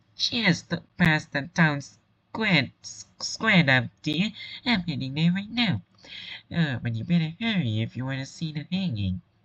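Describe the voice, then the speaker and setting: A put-on character voice at middle pitch moves at a fairly slow pace with very wide pitch swings. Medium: read story. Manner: chatty, sweet.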